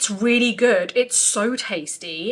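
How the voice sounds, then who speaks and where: A woman's voice over noticeable background noise. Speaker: makeup artist. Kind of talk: casual vlog talk to camera.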